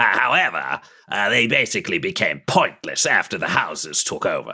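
A man speaks in a put-on character voice. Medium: actual play. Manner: hurried, anxious.

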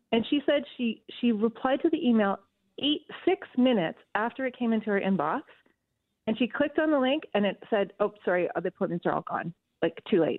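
Speaking at a fairly quick pace with a Canadian accent, a woman uses a fairly high pitch that swings very widely. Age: 50s. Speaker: writer. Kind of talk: radio phone interview. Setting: phone call.

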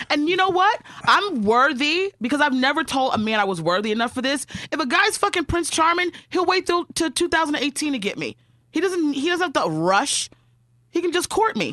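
A woman's raised, projected voice, high in pitch with a bright, sharp, animated tone, very wide pitch swings and a moderate pace. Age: 30s. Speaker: comedian. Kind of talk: casual chat.

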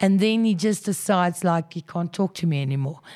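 A woman with a medium pitch speaks in a South African accent. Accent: Afrikaans South African English. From South Africa, Krugersdorp (Gauteng). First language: Afrikaans. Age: 30s. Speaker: journalist. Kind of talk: interview.

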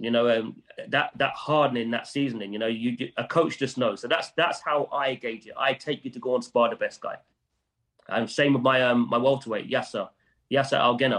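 A man's unremarkable speaking voice, medium in pitch, with fairly even intonation at a fairly quick pace. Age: 40s. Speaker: boxing trainer and manager. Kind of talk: interview.

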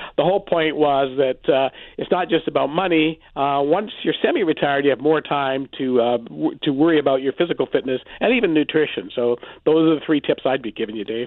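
With a Canadian accent, a man talks fairly quickly in a fairly high voice. It is an ordinary speaking voice, with ordinary pitch variation. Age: 60s. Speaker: personal finance author. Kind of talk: radio interview.

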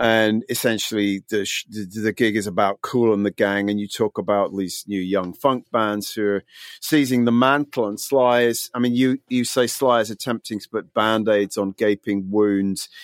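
Recorded dry and close with no echo, a man with an unremarkable speaking voice talks at a moderate pace with fairly even intonation. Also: fairly low pitch for a man, hardly any pauses. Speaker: podcast host and music journalist. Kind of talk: casual interview chat. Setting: video call.

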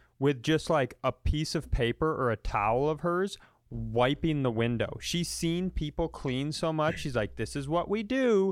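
This man speaks at a fairly high pitch, and his intonation is lively. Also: fairly slow pace.

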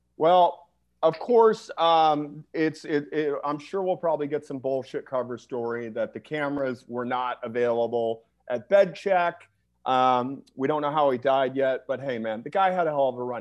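In a normal speaking voice, a man speaks at a moderate pace with ordinary pitch variation. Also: fairly high pitch for a man. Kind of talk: casual chat. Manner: crude, joking.

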